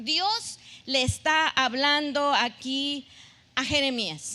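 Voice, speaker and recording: A woman projects her voice loudly at a high pitch. Her tone is bright and sharp. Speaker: pastor. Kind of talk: sermon.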